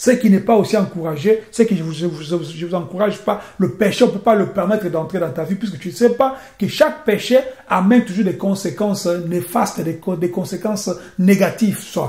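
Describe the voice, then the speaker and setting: Noticeable background noise and audible room echo accompany a voice with ordinary pitch variation. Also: man, high pitch for a man. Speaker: preacher. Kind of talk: sermon. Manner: fast; halting.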